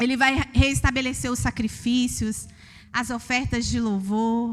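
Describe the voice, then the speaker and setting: Speaking in a Minas Gerais accent, a woman talks at a fairly slow pace with a fairly high pitch. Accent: Minas Gerais Brazilian Portuguese. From Brazil, Minas Gerais. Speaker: preacher. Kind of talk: sermon. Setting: church. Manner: sing-song intonation.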